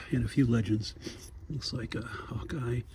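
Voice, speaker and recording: A man whispers. Noticeable background noise runs behind him. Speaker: toy collector vlogger. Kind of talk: casual vlog walkthrough. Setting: inside a store. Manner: whispering.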